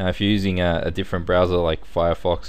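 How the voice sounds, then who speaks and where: A man with an Australian accent and a very deep, low pitch talks very fast, with audible room echo. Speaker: computer tutorial instructor. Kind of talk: tutorial. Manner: casual, conversational.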